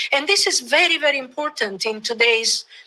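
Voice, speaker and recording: A voice with an Italian accent and ordinary pitch variation, amid noticeable background noise. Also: woman. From Italy. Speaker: professor, bilingualism researcher. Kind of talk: lecture.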